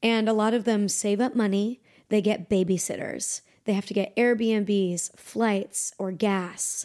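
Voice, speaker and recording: Her dark, mellow voice comes at a fairly slow pace with monotone, flat intonation, as the woman speaks on a very clean recording with a silent background. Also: medium pitch for a woman. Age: 20s. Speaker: R&B and pop singer. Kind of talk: casual chat.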